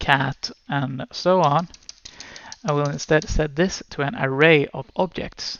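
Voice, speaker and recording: Someone with a Swedish accent speaks at a very slow pace. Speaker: programming teacher. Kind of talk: tutorial. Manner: hesitant, many fillers.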